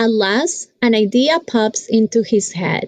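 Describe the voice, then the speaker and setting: Speaking very slowly with a Spanish accent, a woman uses a fairly high pitch, and the sound is dry and close with no echo. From Colombia. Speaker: school teacher. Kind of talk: reading aloud; classroom talk to children.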